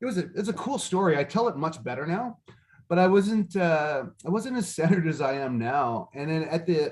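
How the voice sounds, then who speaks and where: Loud and fairly fast, a man talks at a high pitch. His intonation is lively. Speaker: business speaker. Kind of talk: casual chat.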